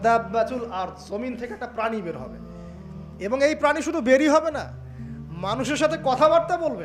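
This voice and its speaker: Music plays in the background behind a man's voice. His pitch is extremely high, with ordinary variation. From Bangladesh. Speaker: Islamic preacher. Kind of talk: religious sermon.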